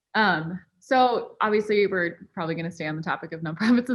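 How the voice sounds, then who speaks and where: An ordinary speaking voice, a woman's talks at a moderate pace, fairly low in pitch with ordinary pitch variation. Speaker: podcast host. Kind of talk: casual podcast conversation.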